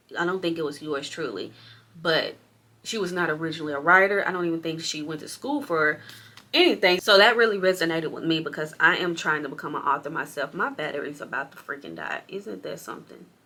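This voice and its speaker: A woman's fairly low-pitched, animated voice at a very fast pace, with big swings in loudness, ordinary pitch variation, and noticeable background noise. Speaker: book vlogger. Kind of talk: casual vlog.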